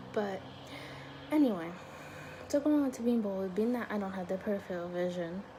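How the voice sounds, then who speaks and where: A woman speaks quietly. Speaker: vlogger. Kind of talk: casual chat. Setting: dorm room. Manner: rambling, hesitant.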